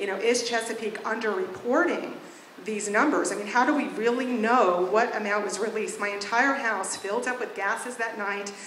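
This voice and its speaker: A woman speaks at a moderate pace in a fairly high pitch, with fairly even intonation. Audible room echo and noticeable background noise fill the recording. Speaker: resident giving public testimony. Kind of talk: testimony.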